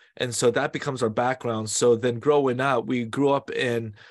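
In a normal speaking voice, a man with an American accent talks at a medium pitch with fairly even intonation over a quiet background. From US West Coast, San Francisco Bay Area. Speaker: pastor. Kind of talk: interview.

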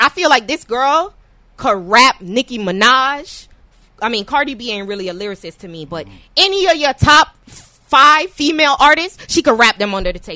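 A woman with an American accent speaks at a moderate pace in an animated, bright, sharp tone, her high pitch swinging very widely and her loudness shifting a lot, in a dry, close sound with no echo. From New York. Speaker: podcast host. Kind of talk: casual chat.

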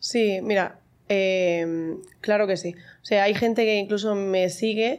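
In a very clean recording with a silent background, a woman speaks in an ordinary speaking voice. Her pitch is medium and her intonation fairly even. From Spain, Murcia. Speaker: mom influencer. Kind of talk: casual chat.

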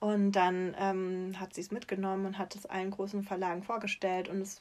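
A woman's medium-pitched voice at a moderate pace. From southwestern Germany, Freiburg im Breisgau. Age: 30s. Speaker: children's book author. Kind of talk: interview.

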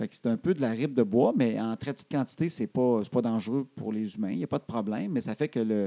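A man with a Quebec accent talks very fast in a dark, mellow tone with lively intonation, and the sound is dry and close with no echo. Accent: Québécois French. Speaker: podcast co-host. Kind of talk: casual chat.

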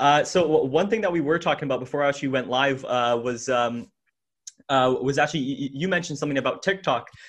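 This is a man with an unremarkable speaking voice, pitched fairly high. He talks at a fairly quick pace with ordinary pitch variation. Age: 20s. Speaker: podcast host. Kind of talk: casual interview.

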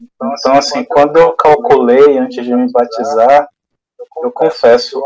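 A man with a normal speaking voice talks at a fairly high pitch and a moderate pace. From Bahia interior, Brazil. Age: 40s. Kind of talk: testimony.

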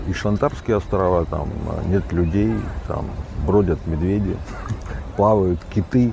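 Speaking at a fairly slow pace, a man with a fairly low pitch comes through over noticeable background noise. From Russian Far East. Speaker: journalist and TV editor. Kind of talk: interview. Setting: outdoors by the sea.

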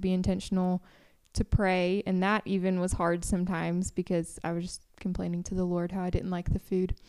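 In a very clean recording with a silent background, a woman speaks at a moderate pace with a dark, mellow tone and monotone, flat intonation. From Tennessee. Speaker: missionary podcast host. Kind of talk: casual chat.

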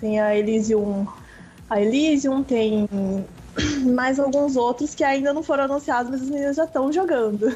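Long, frequent pauses break up speech at a moderate pace with ordinary pitch variation, over noticeable background noise. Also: woman, high pitch for a woman. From Mato Grosso, Brazil. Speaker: professional esports player. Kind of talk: casual radio interview.

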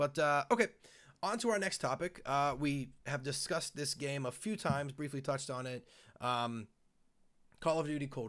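Fairly high-pitched male voice, a normal speaking voice, moderate in pace and lively in intonation. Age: 30s. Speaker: gaming podcast host. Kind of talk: casual chat. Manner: many fillers (um, uh).

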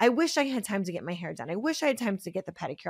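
In an American accent, a woman talks at a very fast pace with an animated tone and very wide pitch swings. The sound is dry and close, with no echo. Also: very clean recording, silent background. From Pennsylvania, US. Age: 30s. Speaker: podcast host and business coach. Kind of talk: casual solo podcast monologue.

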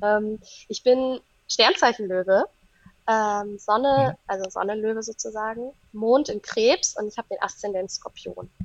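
A woman with an unremarkable speaking voice, fairly high in pitch with ordinary pitch variation, in a dry, close sound with no echo. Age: 30s. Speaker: astrologer and psychologist. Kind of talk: casual chat.

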